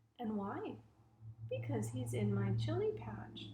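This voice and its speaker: A put-on character voice from a woman, very deep and low in pitch, at a fairly slow pace with audible echo. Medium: read story.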